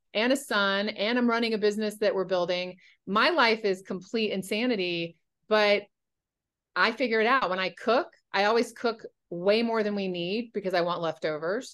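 A woman with an American accent has an unremarkable speaking voice at medium pitch, with ordinary pitch variation. She talks at a moderate pace against a quiet background. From North Carolina. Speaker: nutrition coach. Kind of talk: casual chat.

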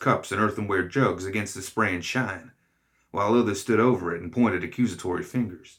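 The speaker reads in an unforced reading voice with ordinary pitch variation. The background is quiet.

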